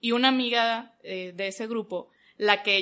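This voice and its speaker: A woman's bright, sharp voice against a quiet background. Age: 20s. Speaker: communications graduate and church volunteer. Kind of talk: casual chat.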